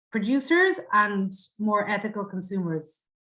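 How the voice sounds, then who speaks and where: At a fairly slow pace, a woman with an Irish accent speaks at a medium pitch. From Ireland. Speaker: university international officer. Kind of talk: panel presentation.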